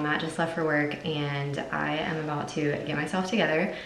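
Room echo can be heard in this recording. There is also light background noise. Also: woman. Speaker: mom vlogger. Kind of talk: casual vlog chat. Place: bathroom. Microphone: phone near.

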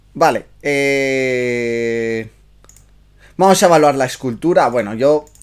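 This man talks with ordinary pitch variation. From Spain. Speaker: miniature painting youtuber and streamer; miniature painting youtuber, streamer. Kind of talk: livestream review chat. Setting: live stream. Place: home room.

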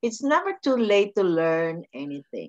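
A woman is heard against a quiet background. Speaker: podcast host. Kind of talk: interview host talk. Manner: enthusiastic, effusive. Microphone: video call.

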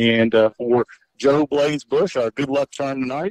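A man with a fairly high pitch talks in an Arkansas accent, the sound dry and close with no echo. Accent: US South (Arkansas). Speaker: radio sports announcer. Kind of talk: post-game radio broadcast.

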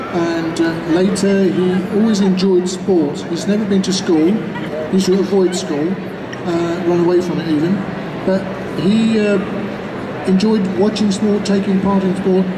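A man talks at a fairly slow pace over noticeable background noise. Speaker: spokesperson for an elderly runner. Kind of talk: press conference answers. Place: hall.

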